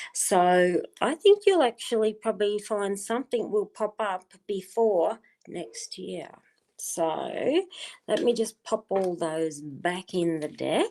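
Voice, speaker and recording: Speaking very slowly in an Australian accent, a woman uses a dark, mellow tone at a medium pitch with lively intonation. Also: very clean recording, silent background. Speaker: tarot card reader. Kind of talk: live stream card reading. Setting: live stream on wifi.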